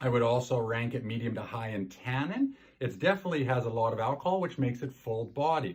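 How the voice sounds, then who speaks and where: The speaker has a somewhat breathy voice with ordinary pitch variation and a Canadian accent. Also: man. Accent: Canadian farmer. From Canada. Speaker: wine presenter. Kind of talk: wine tasting presentation. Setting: recorded video for virtual event. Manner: animated.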